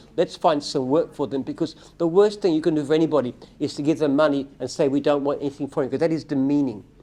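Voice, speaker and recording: Against a quiet background, a man with an Australian accent speaks at a very fast pace. His tone is dark and mellow, and his intonation fairly even. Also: fairly high pitch for a man. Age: 70s. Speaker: company founder and CEO. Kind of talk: live Q&A. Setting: livestream.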